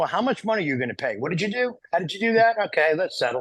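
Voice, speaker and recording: A man with a New York accent, very fast, with very wide pitch swings, on a very clean recording with a silent background. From New York, Italian-American. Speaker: podcast co-host. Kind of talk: podcast conversation.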